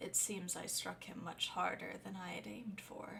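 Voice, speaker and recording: A female-sounding voice doing a put-on character voice is gravelly and medium in pitch, moving at a moderate pace over clear background noise. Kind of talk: formal.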